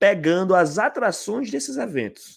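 This man speaks in a high voice with lively intonation at a fairly slow pace. The recording is very clean, with a silent background. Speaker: YouTube interviewer. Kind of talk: casual chat. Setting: live stream.

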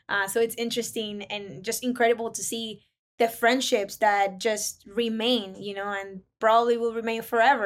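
Fairly quick and fairly high in pitch, a woman speaks with a Spanish accent. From Ecuador. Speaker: recent college graduate and business consultant. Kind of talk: casual interview. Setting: remote call. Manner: animated.

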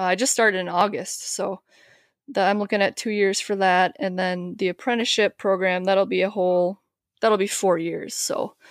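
A woman's medium-pitched voice in a slight Upper Midwest accent, fairly even in intonation, at a moderate pace, dry and close with no echo. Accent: Upper Midwest, likened to Canadian, slight. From Wisconsin, near the Twin Cities. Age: 30s. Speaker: HVAC maintenance technician. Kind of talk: casual interview chat. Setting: remote podcast call.

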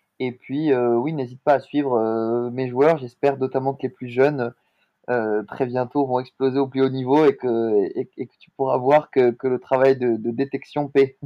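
A man's medium-pitched, monotone, flat delivery at a fairly slow pace, with big swings in loudness. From southern France, Montpellier. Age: 20s. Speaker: sports agent. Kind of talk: interview. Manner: hesitant, frequent fillers and repetitions.

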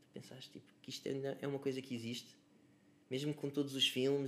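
A man speaks with an unremarkable speaking voice. His pitch is fairly high. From Lisbon area, Portugal (Cascais–Oeiras line). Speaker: musician. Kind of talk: casual chat.

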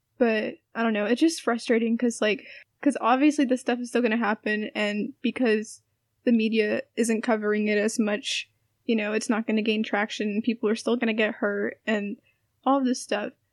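Recorded very cleanly against a silent background, with a dry, close sound and no echo, a woman uses a normal speaking voice at a fairly high pitch, with fairly even intonation and a moderate pace. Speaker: podcast host. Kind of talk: casual chat.

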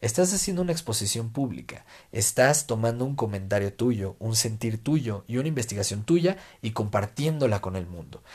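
In a very clean recording with a silent background, a man speaks at a moderate pace and a medium pitch. His voice is somewhat breathy, with lively intonation. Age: 20s. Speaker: podcast host and political columnist. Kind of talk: solo podcast monologue.

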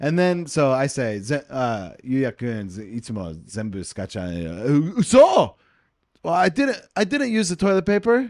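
Over a silent background in a very clean recording, a man with a fairly high pitch speaks at a very slow pace, his pitch swinging very widely. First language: English (speaking Japanese). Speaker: podcast co-host, Japanese learner and former English teacher. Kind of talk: casual bilingual chat. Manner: halting in Japanese.

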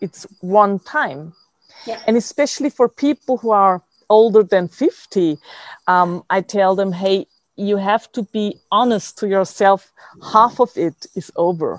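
At a fairly slow pace, a woman speaks at medium pitch with ordinary pitch variation, the sound dry and close with no echo. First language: German. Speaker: podcast host. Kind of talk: interview.

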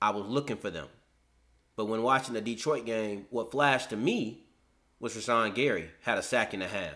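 Speaking at a moderate pace, a man with an American accent has a bright, sharp tone, medium pitch and ordinary pitch variation. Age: 20s. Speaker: sports podcast host. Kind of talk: casual sports debate. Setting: studio.

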